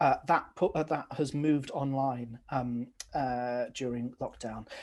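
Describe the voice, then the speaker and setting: A man with a medium pitch and fairly even intonation talks at a fairly slow pace on a very clean recording with a silent background. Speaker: arts producer. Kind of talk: panel discussion. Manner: hesitant, many fillers.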